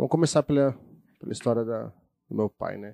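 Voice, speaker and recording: At a moderate pace, the voice has a dark, mellow tone and ordinary pitch variation, recorded with a dry, close sound and no echo. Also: man. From Brazil, São Bernardo do Campo, São Paulo. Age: 30s. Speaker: youtuber. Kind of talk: casual chat.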